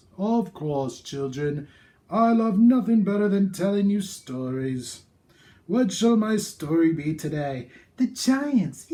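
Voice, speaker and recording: A man speaks in a put-on character voice, pitched high and delivered at a fairly slow pace. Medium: read story. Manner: warm, theatrical.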